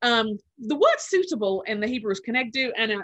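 A woman with a London accent speaks at a high pitch in a bright, sharp tone. Her pitch swings very widely. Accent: British (London) English. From England, London. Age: 40s. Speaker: author and podcast host. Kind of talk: interview.

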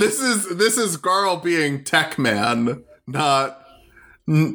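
Very wide pitch swings mark this man's very slow speech, delivered in a bright, sharp tone at very even loudness. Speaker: player in a D&D game. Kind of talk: casual comedic tabletop roleplay.

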